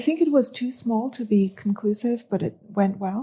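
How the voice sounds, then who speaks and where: Her voice is fairly high-pitched and somewhat breathy. This woman has a dark, mellow tone. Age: 50s. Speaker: writer and editor. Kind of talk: interview. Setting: studio. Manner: hesitant.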